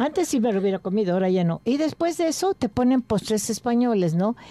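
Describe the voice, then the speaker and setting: A woman's fairly high, dark, mellow voice with very wide pitch swings, fairly quick, in a dry sound with no echo. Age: 80s+. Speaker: gourmet association member and home cook; radio food show host. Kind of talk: casual chat; recipe demonstration. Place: studio.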